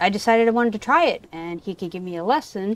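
A woman talks at a moderate pace in a dry sound with no echo. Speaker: fishing guide. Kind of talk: interview answer. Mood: relaxed, laughing at times. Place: garden.

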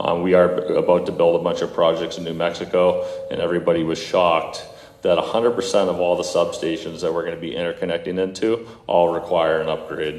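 A man's voice amid noticeable background noise and audible room echo. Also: fairly quick pace. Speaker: solar energy company representative. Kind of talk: presentation to city council. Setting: city council meeting. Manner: halting; loud.

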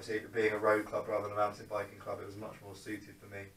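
Audible room echo surrounds a man who speaks fast in a fairly low pitch with monotone, flat intonation. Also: fairly bright tone.

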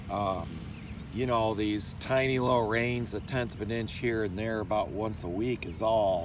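Fairly low in pitch, a man's voice comes through dry with no echo amid noticeable background noise. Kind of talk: casual explanatory farm vlog. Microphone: phone near.

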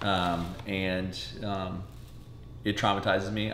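Light background noise and audible room echo surround the speaker. He is a man with a fairly low pitch. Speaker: home vlogger. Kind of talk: casual vlog chat. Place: kitchen. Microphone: camera far.

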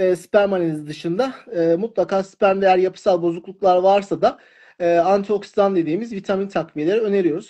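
In a quiet setting, a man talks fairly quickly at a high pitch with a dark, mellow tone. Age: 40s. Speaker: fertility doctor. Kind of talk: live stream Q&A interview. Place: home room. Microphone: phone near.

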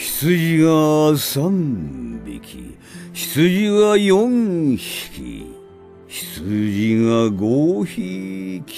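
A man at a very slow pace, with music in the background and big swings in loudness. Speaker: voice actor. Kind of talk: counting sheep for sleep. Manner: slow, counting.

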